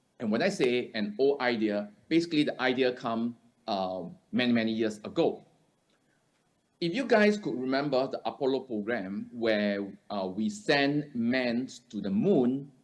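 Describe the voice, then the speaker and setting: A medium-pitched man with lively intonation at a fairly slow pace, with audible room echo. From Singapore. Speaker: conference speaker. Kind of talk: conference presentation. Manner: halting, many fillers.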